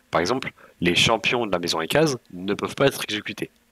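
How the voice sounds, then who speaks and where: A man speaks at a fairly quick pace in a bright, sharp tone with lively intonation, recorded dry with no echo against a quiet background. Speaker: gaming YouTuber; strategy game guide creator. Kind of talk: video game tutorial. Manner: casual, with frequent hesitations. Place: home room.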